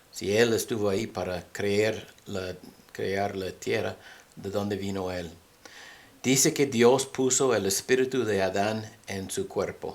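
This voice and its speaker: A man speaks very slowly with a non-native accent. His voice sits fairly low. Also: ordinary pitch variation. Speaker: religious teacher. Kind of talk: bible teaching. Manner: halting.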